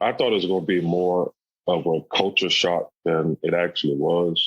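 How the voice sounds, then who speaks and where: A man with an American accent talks at a moderate pace. His loudness stays very even, and the sound is dry and close with no echo. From US South, South Carolina. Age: 40s. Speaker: stand-up comedian. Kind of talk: interview.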